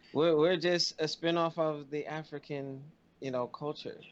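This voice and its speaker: A man speaks in an unremarkable speaking voice. His pitch is fairly high and his pace moderate. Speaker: podcast co-host. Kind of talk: casual chat.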